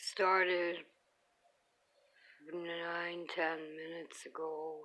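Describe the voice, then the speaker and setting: Very slow, monotone, flat delivery from a woman with a fairly low pitch and a bright, sharp tone. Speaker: seizure sufferer with service dog. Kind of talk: fragmented self-narration to camera. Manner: halting, broken phrases.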